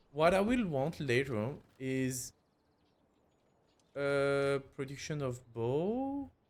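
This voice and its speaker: Long, frequent pauses break up the very slow speech of a man with a non-native accent and a fairly high pitch. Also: ordinary pitch variation. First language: not English. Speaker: gaming YouTuber. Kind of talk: let's play gameplay commentary. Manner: hesitant, many fillers.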